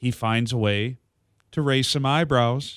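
A man with an unremarkable speaking voice, medium pitch and ordinary pitch variation. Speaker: radio producer. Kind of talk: casual sports talk.

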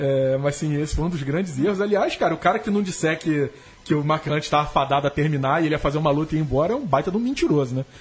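Noticeable background noise sits behind a man with a fairly high pitch. He talks at a very fast pace with ordinary pitch variation. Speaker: MMA journalist and podcast co-host. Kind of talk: casual chat. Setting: studio.

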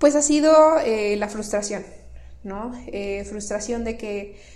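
The pace is fairly slow, with ordinary pitch variation. Audible room echo surrounds the voice. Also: woman. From northern Mexico (Tamaulipas, Monterrey). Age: 20s. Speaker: coworking manager and entrepreneurship promoter. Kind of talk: interview.

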